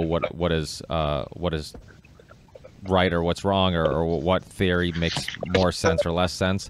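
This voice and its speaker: With noticeable background noise behind him, a man speaks fairly slowly in a very deep, low pitch with ordinary pitch variation. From US, came from Portugal at age four. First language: Portuguese. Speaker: podcast host being interviewed. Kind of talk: interview answers. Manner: halting, many repetitions and fillers.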